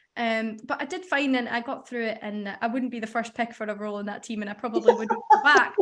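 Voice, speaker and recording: A woman with a Scottish accent talks very fast, with hardly any pauses. Her fairly high pitch shows ordinary variation, and her loudness swings widely. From Scotland. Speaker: radio researcher, former apprentice. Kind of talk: casual interview.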